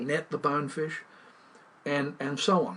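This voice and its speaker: A man with an Australian accent talks at a moderate pace and a fairly high pitch. Noticeable background noise runs underneath. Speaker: fly fisherman and writer. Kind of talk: interview answer. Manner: emphatic, indignant.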